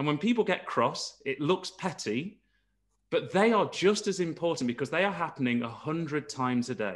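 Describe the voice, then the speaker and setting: In an East Midlands accent, a man speaks at a fairly high pitch and moderate pace with lively intonation against a quiet background. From East Midlands, England. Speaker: geoscientist panelist; panelist. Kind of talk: panel discussion. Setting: video call. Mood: engaged, thoughtful. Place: home room. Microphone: video call.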